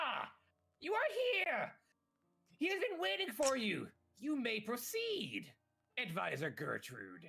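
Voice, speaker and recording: A man's put-on character voice, extremely high-pitched, with long, frequent pauses. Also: fairly slow pace. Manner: haunting, eerie.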